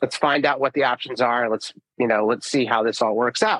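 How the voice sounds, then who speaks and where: Speaking fairly quickly, a man uses an ordinary speaking voice at medium pitch with ordinary pitch variation, in a dry, close sound with no echo. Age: 50s. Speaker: podcast host. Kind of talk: casual interview conversation.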